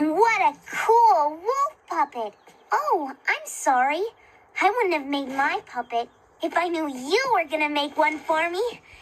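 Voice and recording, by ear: A cartoonish character voice speaks in a high pitch at a fairly slow pace.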